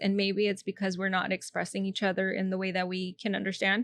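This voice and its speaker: Very fast speech with a Spanish accent, in a dry, close sound with no echo. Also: woman. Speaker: comedian and actress. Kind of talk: casual chat.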